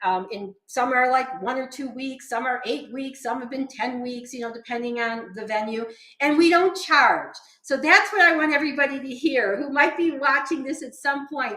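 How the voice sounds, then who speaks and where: A woman with a high pitch and a bright, sharp tone speaks in a raised, projected voice at a moderate pace, with ordinary pitch variation and big swings in loudness. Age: 70s. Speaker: vegan nutrition educator. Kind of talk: casual chat.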